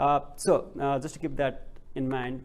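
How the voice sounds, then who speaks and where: This man's voice carries audible room echo. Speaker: PhD researcher presenting. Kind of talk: conference presentation. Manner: slow; halting, many fillers.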